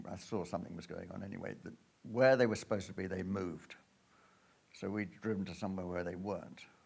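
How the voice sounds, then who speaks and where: Audible room echo surrounds a man talking at a very fast pace with a very deep, low pitch and big swings in loudness. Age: 70s. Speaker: adventurer giving a travel talk. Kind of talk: illustrated talk to an audience. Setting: stage with audience. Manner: halting, many fillers.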